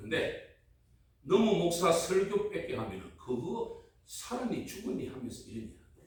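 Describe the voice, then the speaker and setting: A man in a strong Gyeongsang accent, at a fairly slow pace. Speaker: pastor. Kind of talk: sermon. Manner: animated, call-and-response with audience.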